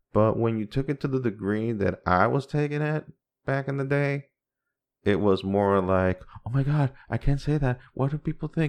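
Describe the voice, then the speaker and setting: This man talks with a Spanish accent and ordinary pitch variation. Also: medium pitch for a man, moderate pace, quiet background. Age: 40s. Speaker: podcast host. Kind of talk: casual monologue.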